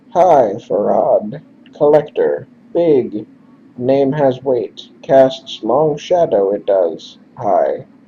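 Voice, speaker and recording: Very slowly, a man puts on a raspy character voice at a fairly high pitch. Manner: halting, clipped.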